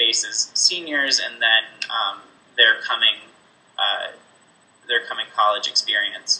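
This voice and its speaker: The man leaves long, frequent pauses. Noticeable background noise is present throughout. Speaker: special education teacher. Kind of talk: interview. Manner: hesitant, many fillers.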